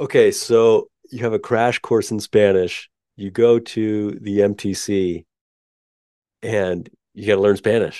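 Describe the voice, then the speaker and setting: Against a quiet background, a man with an American accent speaks fairly slowly in a fairly low, dark, mellow voice, his intonation monotone and flat, his loudness swinging widely, with long, frequent pauses. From Utah. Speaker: podcast host. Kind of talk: interview conversation.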